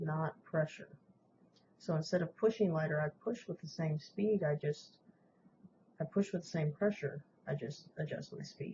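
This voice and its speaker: A soft-spoken woman's fairly low, dark, mellow, somewhat breathy voice at a moderate pace. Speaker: woodburning hobbyist. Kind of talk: tutorial voiceover. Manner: casual, with fillers.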